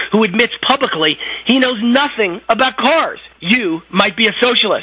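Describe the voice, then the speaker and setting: Projecting his raised voice, a man with a high pitch speaks at a fairly quick pace. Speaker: political commentator. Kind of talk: political commentary.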